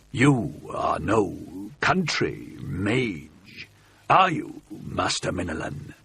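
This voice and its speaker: In a put-on character voice, a man growls out his words in a gravelly tone at medium pitch and a very slow pace. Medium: read story. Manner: menacing, arrogant.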